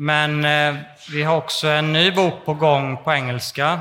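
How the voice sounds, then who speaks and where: A man's fairly high, plain, everyday voice at a fairly slow pace. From Småland, Sweden. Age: 40s. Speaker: climate researcher and author. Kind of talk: interview before live audience. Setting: stage with audience in a hot exhibition hall. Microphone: poor sound conditions.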